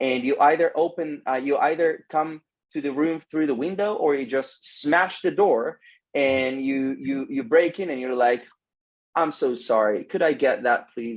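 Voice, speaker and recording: A man's fairly high voice with an Israeli accent. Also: ordinary pitch variation, fairly slow pace. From Israel (Samaria). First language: Hebrew. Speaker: social media adviser. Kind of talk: interview. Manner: halting.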